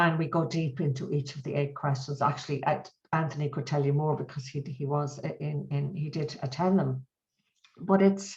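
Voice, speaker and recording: A somewhat breathy woman's voice at a very deep, low pitch, with fairly even intonation. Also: moderate pace. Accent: Irish. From Ireland. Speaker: mediation trainer and author. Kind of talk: webinar interview. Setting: video call.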